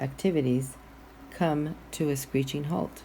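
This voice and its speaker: Audible room echo surrounds a dark, mellow voice that moves at a fairly slow pace with fairly even intonation. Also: woman. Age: 60s. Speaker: guest minister. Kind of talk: sermon.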